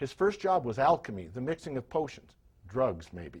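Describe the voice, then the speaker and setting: A somewhat breathy man's voice at medium pitch, with very wide pitch swings, on a very clean recording with a silent background. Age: 60s. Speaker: health and performance coach. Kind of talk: scripted talk to camera.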